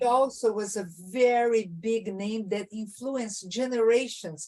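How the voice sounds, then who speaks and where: A woman's fairly high, dark, mellow voice in a Portuguese accent, with ordinary pitch variation and a fairly slow pace. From southern Brazil, Rio Grande do Sul. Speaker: jazz singer. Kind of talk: casual chat.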